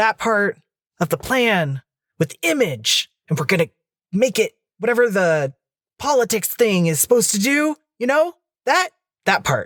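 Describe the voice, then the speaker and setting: In a put-on character voice, a man speaks high-pitched with very wide pitch swings and long, frequent pauses. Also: moderate pace. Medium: actual play. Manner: rambling, flustered.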